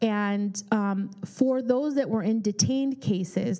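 Over a quiet background, a woman with an American accent speaks at a fairly high pitch in a dark, mellow tone with ordinary pitch variation. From California, Bay Area; California. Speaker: immigration attorney; speaker. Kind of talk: public talk with Q&A. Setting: community forum with audience. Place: meeting room. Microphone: handheld.

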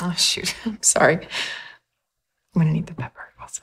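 A woman uses a put-on character voice with vocal fry, a fairly low pitch, a husky, rough edge and a fairly bright tone. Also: ordinary pitch variation, moderate pace.

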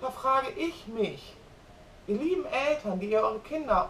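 A woman's raised, projected, animated voice at high pitch with very wide pitch swings and a moderate pace, in audible room echo over light background noise. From Germany. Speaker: vlogger. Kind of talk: casual vlog monologue. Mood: opinionated, worked up. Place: kitchen.

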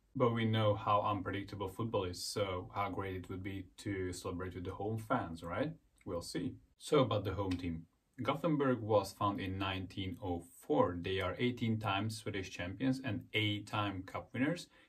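A man speaks at a moderate pace with a fairly low, somewhat breathy voice. His pitch variation is ordinary, and the background is quiet. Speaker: football vlogger. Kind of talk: casual vlog chat. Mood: friendly, upbeat. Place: home room. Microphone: phone near.

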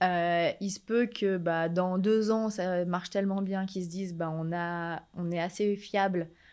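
The speech moves at a fairly slow pace with monotone, flat intonation. The background is quiet. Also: woman. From France, Rhône-Alpes (Villefontaine, Annemasse); Rhône-Alpes. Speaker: shop owner, entrepreneur; guest. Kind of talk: interview. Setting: in her shop. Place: shop. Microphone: studio mic.

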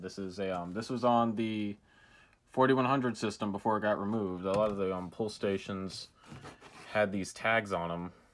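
A man's normal speaking voice, fairly low in pitch, with fairly even intonation at a moderate pace. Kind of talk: casual show-and-tell narration. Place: home room. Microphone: phone near.

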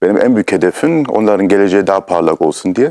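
On a very clean recording with a silent background and a dry, close sound with no echo, a man with a fairly low pitch speaks very fast. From Germany, Munich (Turkish family from Istanbul). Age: 30s. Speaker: actor and producer. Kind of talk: interview.

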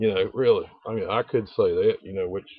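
A man with a North Carolina accent at a fairly quick pace. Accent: Southern US (North Carolina). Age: old. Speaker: video blogger. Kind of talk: casual vlog monologue. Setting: outdoors. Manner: rambling, many fillers. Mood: defiant, offhand. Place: open country. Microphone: phone near.

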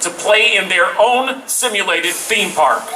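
Lively in intonation and high in pitch, a man speaks at a moderate pace over light background noise. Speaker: event presenter. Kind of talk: live event announcement. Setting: outdoor stage with audience. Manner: animated.

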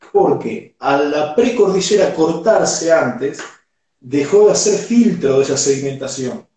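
With audible room echo but a quiet background, a man speaks at a fairly slow pace in a fairly high voice. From Argentina. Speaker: sommelier; guest. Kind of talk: interview. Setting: video call. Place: home room.

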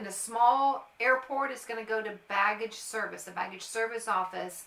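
Heard with audible room echo, a woman speaks at a moderate pace with ordinary pitch variation. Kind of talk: informational vlog talk. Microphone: phone near.

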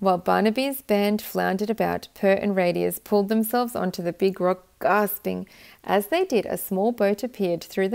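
Reading aloud, plainly done.

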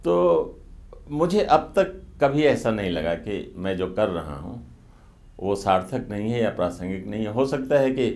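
At a moderate pace, a man with a fairly low pitch speaks with very wide pitch swings and long, frequent pauses. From northern India. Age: 70s. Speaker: journalist and author; journalist. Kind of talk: interview. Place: studio. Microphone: lapel.

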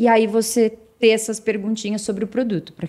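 Fairly high-pitched female voice against a quiet background. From Brazil, São Paulo state (Santo André, then Campinas); São Paulo state, Brazil. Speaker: sales and marketing executive; sales. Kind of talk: interview. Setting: studio. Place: office. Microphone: studio mic.

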